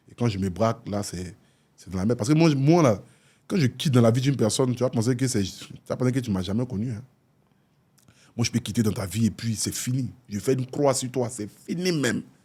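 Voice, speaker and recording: Speaking with an Ivorian accent, a man uses a medium pitch and a dark, mellow, somewhat breathy tone. His pace is fairly quick, broken by long, frequent pauses. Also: ordinary pitch variation. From Côte d'Ivoire. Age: 30s. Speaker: influencer and philanthropist. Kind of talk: talk show interview. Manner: casual, hesitant with fillers.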